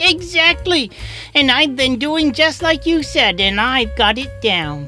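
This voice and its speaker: A cartoonish character voice speaks at a fairly high pitch and a fairly slow pace. Music is clearly heard in the background. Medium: puppet.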